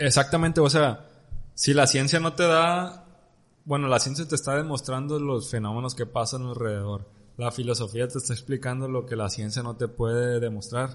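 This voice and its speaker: A man speaks at a moderate pace in a medium-pitched, somewhat breathy voice with ordinary pitch variation. The background is quiet. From Mexico. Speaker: podcast host. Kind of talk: casual chat.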